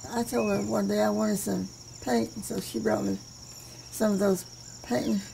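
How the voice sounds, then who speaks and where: Noticeable background noise sits under a woman speaking at a fairly slow pace. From Western Kentucky. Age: 80s+. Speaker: folk artist, memory painter. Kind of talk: interview answer. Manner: regal elocution.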